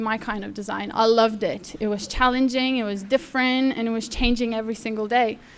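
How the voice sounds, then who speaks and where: A woman with a Lithuanian accent talks at a fairly quick pace with a fairly high pitch and fairly even intonation. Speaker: apprentice designer. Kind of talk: speech. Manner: halting.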